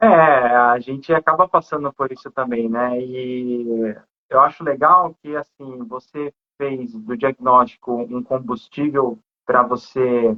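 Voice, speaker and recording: At medium pitch and with fairly even intonation, a man talks in an unremarkable speaking voice. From Brazil, not Rio de Janeiro. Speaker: live stream host. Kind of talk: casual live interview. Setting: Instagram live.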